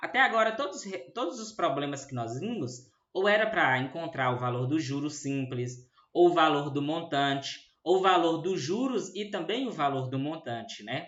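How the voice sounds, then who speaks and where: With audible room echo around him, a man with a fairly high voice talks at a moderate pace, his pitch swinging very widely. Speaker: math teacher. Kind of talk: lecture.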